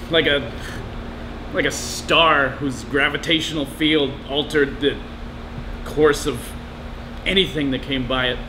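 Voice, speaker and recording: A man's monotone, flat delivery at a fairly slow pace, broken by long, frequent pauses, over noticeable background noise. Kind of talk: interview answer. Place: bar. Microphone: camera far.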